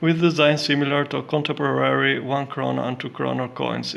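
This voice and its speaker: A man with a non-native accent at a fairly quick pace, over noticeable background noise. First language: not English. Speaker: coin and banknote collector. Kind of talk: casual collection showcase. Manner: halting, many fillers.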